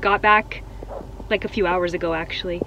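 A woman talks at a fairly quick pace. Light noise sits in the background. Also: dry sound with no echo. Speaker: vlogger. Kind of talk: casual vlog chat. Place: car. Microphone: phone near.

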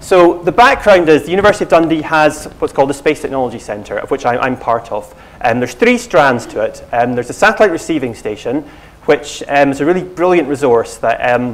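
A man's voice at a very fast pace, with very wide pitch swings. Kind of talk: lecture. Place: hall.

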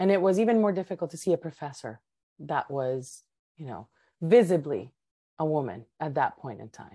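Against a quiet background, a woman with a Spanish accent speaks fairly quickly in a very deep, low pitch and a dark, mellow tone, with very wide pitch swings, big swings in loudness and long, frequent pauses, all in a dry recording with no echo. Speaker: tech professional. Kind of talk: interview conversation. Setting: video call. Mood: reflective, earnest. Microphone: video call.

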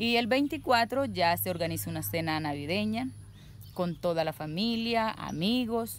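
At a fairly slow pace and fairly low pitch, a woman speaks with very wide pitch swings, in a dry sound with no echo and light background noise. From Colombia, Córdoba department (Caribbean coast). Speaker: interviewee describing local customs; interviewee. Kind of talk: casual monologue. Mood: warm, cheerful. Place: garden. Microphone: phone near.

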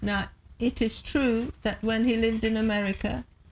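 Somewhat breathy speech comes at a moderate pace over light background noise. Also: woman. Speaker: interview guest. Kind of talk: interview answer. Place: studio.

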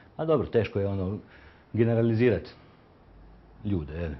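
A man with a fairly low pitch speaks in a somewhat breathy voice with lively intonation. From Croatia, Dubrovnik. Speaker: picture framer and youth handball coach. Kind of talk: street interview. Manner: halting.

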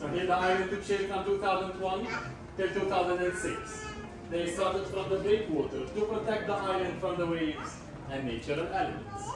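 Over noticeable background noise and strong room echo, a man talks at a fairly quick pace. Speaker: tour guide. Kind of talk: guided tour explanation. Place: hall. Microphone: camera far.

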